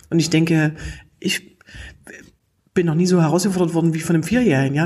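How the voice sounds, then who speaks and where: A woman with a fairly low pitch and a somewhat breathy voice speaks at a very fast pace. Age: 40s. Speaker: humor trainer and podcast host. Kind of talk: interview. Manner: lively, laughs often.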